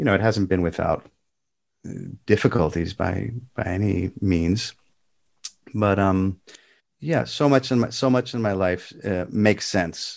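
A man's fairly low voice with ordinary pitch variation, a fairly slow pace, and long, frequent pauses. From California, US West Coast. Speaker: classical guitarist and music teacher. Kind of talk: casual interview. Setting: remote call. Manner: halting, many false starts; talkative.

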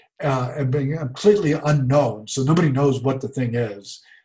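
This man has an American accent and sounds somewhat breathy. His pace is moderate. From US South, Jacksonville, Florida. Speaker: coffee roaster business owner. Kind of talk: interview conversation.

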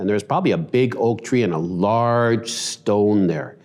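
Speaking with a Western Canadian accent at a moderate pace, a man has a medium pitch, a dark, mellow tone and lively intonation. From Canada, Vancouver. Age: 50s. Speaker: church elder. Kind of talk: testimony.

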